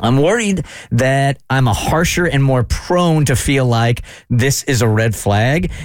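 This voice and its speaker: Speaking at a fairly slow pace with very even loudness, a man has a plain, everyday voice at a medium pitch with lively intonation. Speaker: radio host. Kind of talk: casual chat.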